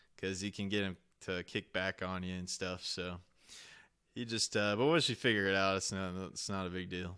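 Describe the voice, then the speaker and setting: With a Southern US accent, a man talks in a very deep, low pitch, his tone bright and sharp and his intonation fairly even. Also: moderate pace, very clean recording, silent background. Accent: Southern US accent, can turn it up. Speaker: podcast host, homesteader. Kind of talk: casual chat. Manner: halting, many fillers.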